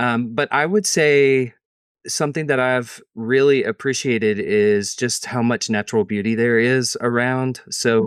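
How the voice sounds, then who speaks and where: A man's medium-pitched voice with a Southern Tennessee accent, fairly slow pace, ordinary pitch variation and very even loudness. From East Tennessee. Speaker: interview guest. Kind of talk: interview conversation.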